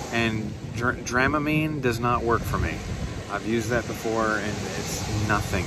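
A man talks at a fairly slow pace, the sound dry with no echo, while loud background noise runs underneath. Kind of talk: casual vlog chat. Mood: frustrated, self-deprecating. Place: beach. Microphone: phone near.

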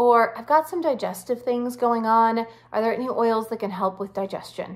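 Against a quiet background, a woman speaks at a moderate pace. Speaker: wellness coach. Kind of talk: tutorial. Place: home room. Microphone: phone near.

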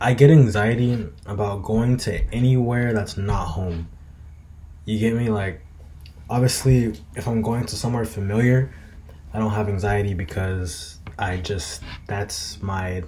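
Over light background noise, a man speaks at a fairly low pitch and a fairly slow pace, with ordinary pitch variation. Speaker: vlogger. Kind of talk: casual vlog chat. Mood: relaxed, reflective. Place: home room. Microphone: webcam.

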